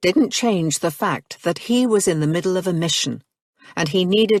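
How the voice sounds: A natural reading voice is heard, and the background is quiet.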